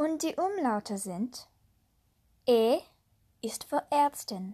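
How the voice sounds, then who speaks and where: A woman speaks at a very slow pace in a high pitch, her dark, mellow tone carrying lively intonation. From USA. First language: English (speaking German). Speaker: language learning podcaster. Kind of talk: tutorial.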